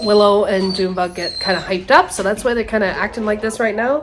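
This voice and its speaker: With noticeable background noise, a woman speaks at a medium pitch and a fairly even intonation. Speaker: homesteader vlogger. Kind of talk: casual vlog narration. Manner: hesitant, many fillers.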